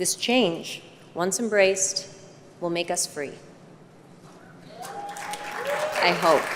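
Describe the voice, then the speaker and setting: With an American accent, a woman speaks at a very slow pace with long, frequent pauses, crowd noise audible in the background. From United States. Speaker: actress. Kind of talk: award acceptance speech.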